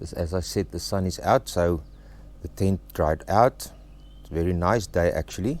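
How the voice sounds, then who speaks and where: In an Afrikaans South African accent, a man speaks with a dark, mellow tone. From South Africa, Free State. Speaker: travel vlogger. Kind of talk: casual vlog talk to camera. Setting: outdoors at a campsite, under a tent. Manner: halting, with fillers.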